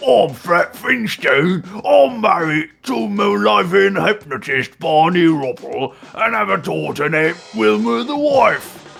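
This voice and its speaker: At a fairly slow pace, a man performs a put-on character voice pitched high. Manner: comic impression.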